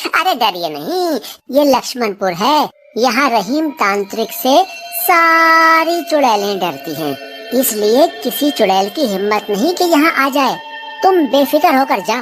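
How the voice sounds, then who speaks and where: Over faint music in the background, a man performs a put-on character voice at an extremely high pitch and a fairly slow pace. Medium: audio drama. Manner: jovial.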